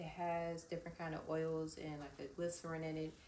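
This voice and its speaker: There is audible room echo around a woman speaking at a moderate pace. Her pitch is fairly low. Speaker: vlogger and small cosmetics business owner. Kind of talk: casual vlog chat.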